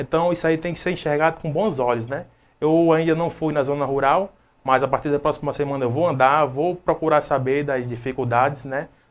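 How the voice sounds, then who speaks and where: In a Rio Grande do Norte accent, the speaker talks at a fairly quick pace with fairly even intonation. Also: man, fairly high pitch for a man. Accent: Brazilian Northeastern (potiguar) Portuguese. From Brazil, Rio Grande do Norte interior. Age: 20s. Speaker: city council candidate; council candidate, interview guest. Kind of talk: interview; interview answer. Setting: live web TV studio. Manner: hesitant, with many fillers. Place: home room. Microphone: lapel.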